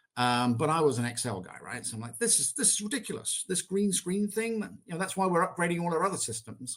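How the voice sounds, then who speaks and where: Very fast and high-pitched, a man with an English accent speaks with very wide pitch swings and big swings in loudness. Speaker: software executive. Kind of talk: interview. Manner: hesitant with fillers.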